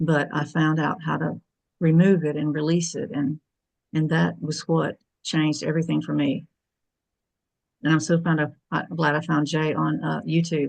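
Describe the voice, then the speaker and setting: The speech is monotone and flat, with vocal fry and long, frequent pauses. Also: woman, very deep, low pitch for a woman, moderate pace. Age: 60s. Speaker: call participant sharing personal story. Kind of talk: testimony. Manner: halting.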